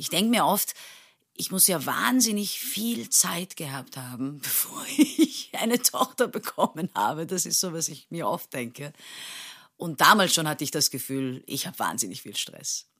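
In a very clean recording with a silent background, a woman with a fairly low pitch speaks at a moderate pace, using very wide pitch swings and big swings in loudness. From Turkey, Istanbul. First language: Turkish (speaking German). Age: 30s. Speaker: stage actress. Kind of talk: casual interview.

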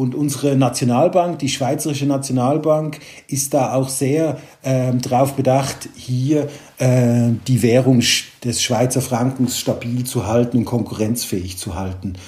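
A man at a medium pitch, somewhat breathy, with a dark, mellow tone, ordinary pitch variation, and a fairly slow pace. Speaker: private banker. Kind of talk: casual interview.

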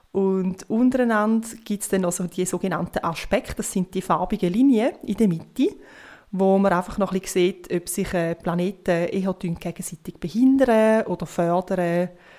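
Recorded very cleanly with a silent background, the voice moves at a moderate pace with ordinary pitch variation. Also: woman, medium pitch for a woman. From Switzerland, near Rapperswil on Lake Zurich. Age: 30s. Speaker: astrologer. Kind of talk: interview, explaining.

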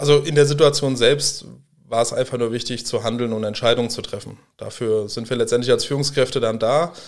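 A man with a plain, everyday voice talks at a fairly quick pace and medium pitch, keeping his intonation fairly even. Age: 30s. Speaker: professional firefighter. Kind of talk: interview.

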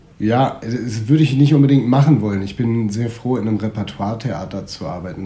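With noticeable background noise and audible room echo, a man speaks with ordinary pitch variation. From northern Germany, Schleswig-Holstein. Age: 30s. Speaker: stage actor. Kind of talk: casual interview. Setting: theatre building.

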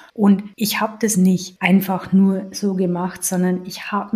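A woman speaks at a fairly slow pace in a medium pitch with flat, monotone intonation. Her tone is dark and mellow, and somewhat breathy. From Lower Bavaria, Germany. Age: 40s. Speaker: health podcast co-host, accountant. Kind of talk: casual chat.

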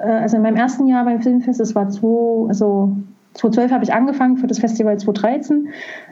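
A woman talks at a fairly quick pace, with a fairly high pitch and ordinary pitch variation. Noticeable background noise and audible room echo can be heard. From Saxony, Dresden. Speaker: film festival coordinator. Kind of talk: interview. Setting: video call. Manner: halting. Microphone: laptop.

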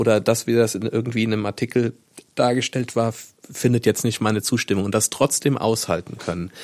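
In a normal speaking voice, a man of medium pitch talks at a fairly quick pace with fairly even intonation. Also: dry, close sound with no echo. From Rhineland-Palatinate, Koblenz area. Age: 40s. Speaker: local newspaper editor. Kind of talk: casual interview chat.

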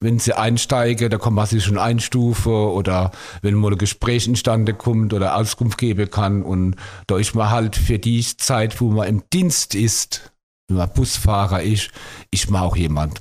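A man's normal speaking voice, fairly low in pitch, with ordinary pitch variation and a moderate pace. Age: 50s. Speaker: bus driver. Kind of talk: casual interview.

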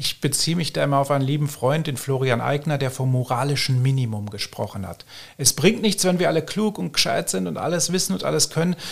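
Somewhat breathy and very fast, a man talks at fairly high pitch with lively intonation. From Germany. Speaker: fact-checker, press spokesman. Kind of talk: podcast interview.

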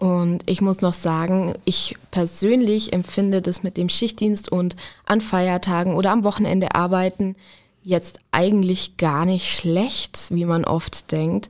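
The delivery is very slow, with monotone, flat intonation and very even loudness. The recording is very clean, with a silent background. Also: woman, medium pitch for a woman. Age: 20s. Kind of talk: podcast interview.

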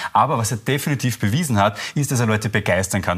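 The speech has lively intonation, with music in the background. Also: man. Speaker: journalist. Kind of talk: TV panel discussion. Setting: TV studio.

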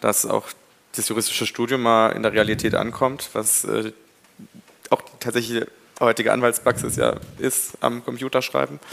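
This is a man with an ordinary speaking voice. He talks at a moderate pace with ordinary pitch variation. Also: medium pitch for a man. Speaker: law student representative. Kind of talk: live panel discussion. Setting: university hall with live audience.

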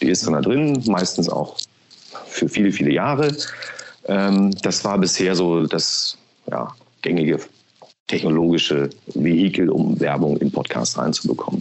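Speaking at a fairly slow pace with long, frequent pauses, a man with a very deep, low pitch makes very wide pitch swings while keeping his loudness very even. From Berlin (East), Germany. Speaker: podcast marketing executive. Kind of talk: interview.

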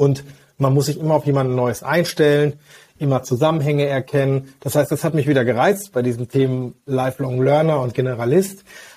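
At a fairly quick pace, a man speaks with a fairly high pitch, a dark, mellow tone, some breathiness and fairly even intonation. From Westphalia, Germany (Hagen). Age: 40s. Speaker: physician and health-tech executive. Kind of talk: interview.

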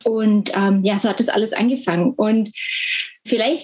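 The woman's pitch varies in an ordinary way. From Germany. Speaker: health communication trainer, former nurse. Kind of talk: interview. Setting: video call from home.

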